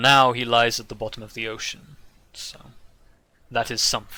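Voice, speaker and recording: Putting on a character voice, a man speaks at a medium pitch and a moderate pace with monotone, flat intonation. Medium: actual play. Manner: formal, measured.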